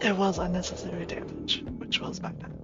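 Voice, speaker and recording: A soft-spoken woman talks at a medium pitch with ordinary variation. Background noise is noticeable. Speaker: vtuber gamer. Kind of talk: gameplay commentary.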